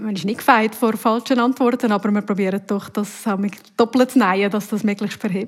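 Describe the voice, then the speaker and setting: Over noticeable background noise, a woman talks at a moderate pace with fairly even intonation and a fairly high pitch. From Uri, central Switzerland. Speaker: TV news presenter and reporter. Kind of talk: casual interview answers.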